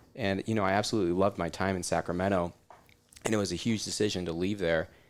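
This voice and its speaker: A man with an American accent speaks very fast in a very deep, low, monotone, flat voice. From US Southwest, Arizona (Scottsdale). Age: 30s. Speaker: chiropractor. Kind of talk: casual interview.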